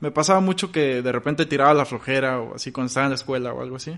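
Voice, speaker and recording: A man talks at a fairly quick pace in a normal speaking voice. His intonation is fairly even. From Mexico, Victoria, Tamaulipas. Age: 20s. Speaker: goalkeeper content creator. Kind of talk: interview.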